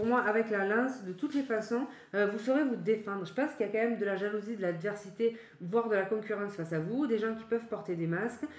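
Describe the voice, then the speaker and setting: Over noticeable background noise, a woman with a fairly high pitch speaks at a very fast pace with ordinary pitch variation. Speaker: tarot reader. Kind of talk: tarot reading. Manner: halting.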